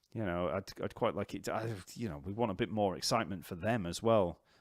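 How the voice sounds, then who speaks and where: The speaker has a Yorkshire accent and a fairly quick pace with ordinary pitch variation. The recording is very clean, with a silent background. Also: man. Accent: Yorkshire, unchanged. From northern England, Leeds/Wakefield. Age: 40s. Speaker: bass teacher. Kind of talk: live stream Q&A chat. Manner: casual, hesitant with fillers.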